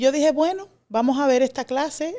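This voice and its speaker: A woman with a Dominican accent talks at a moderate pace in a dark, mellow tone. The recording is very clean and the background silent. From Dominican Republic. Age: young. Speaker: classics scholar. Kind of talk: interview. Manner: hesitant, many fillers.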